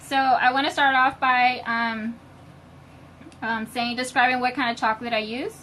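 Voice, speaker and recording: This woman's voice is high-pitched, bright and sharp. She keeps a moderate pace with fairly even intonation. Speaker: home baker demonstrating on live video. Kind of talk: live-stream tutorial. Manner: loud, shouting a little.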